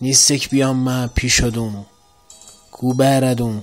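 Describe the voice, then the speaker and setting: A man at a medium pitch, talking at a very slow pace with music in the background. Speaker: poetry reciter. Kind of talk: poetry reading.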